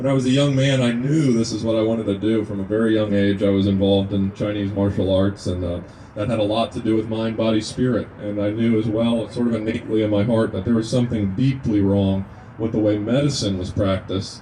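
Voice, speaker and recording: A man with a slight Kentucky accent talks at a very fast pace in a fairly low pitch. His intonation stays fairly even over noticeable background noise. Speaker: naturopathic medicine student, activist speaker. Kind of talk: speech to a gathering. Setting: outdoors at a rest stop.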